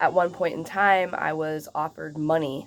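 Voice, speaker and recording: Monotone, flat intonation from a woman with a very deep, low pitch. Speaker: activist vlogger. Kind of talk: personal vlog monologue. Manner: stuttering, rambling.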